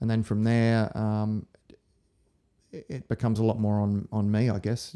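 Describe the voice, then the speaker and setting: This man speaks with an Australian accent at a moderate pace, his fairly low voice dark and mellow in tone and flat and monotone in intonation. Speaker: acupuncturist and lecturer. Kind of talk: casual interview chat.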